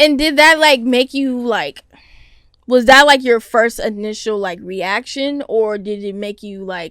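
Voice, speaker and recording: A woman's fairly high voice, fairly slow in pace, with big swings in loudness. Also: lively intonation. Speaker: podcast host. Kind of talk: casual chat. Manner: loud at times.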